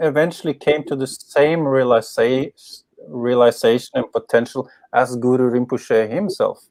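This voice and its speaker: This man's medium-pitched voice comes through dry and close with no echo, on a very clean recording with a silent background. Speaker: spiritual teacher, former pro skateboarder. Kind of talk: interview. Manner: slow, with pauses.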